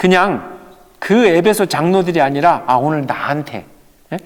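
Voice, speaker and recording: An animated tone comes through, with ordinary pitch variation. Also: man. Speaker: pastor. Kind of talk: Bible study lecture.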